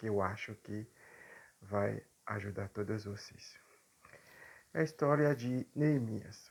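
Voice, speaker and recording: Very slow and full of long, frequent pauses, a man speaks at a fairly low pitch with ordinary pitch variation. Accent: non-native. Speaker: preacher. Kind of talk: sermon. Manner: halting, with frequent fillers.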